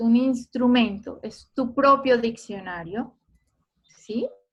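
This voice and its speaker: The speaker is a woman. Her pitch is fairly high. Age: 50s. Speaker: photographer giving an online talk. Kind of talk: online lecture.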